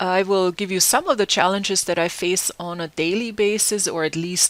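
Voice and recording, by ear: With a German accent, a woman speaks at a fairly low pitch.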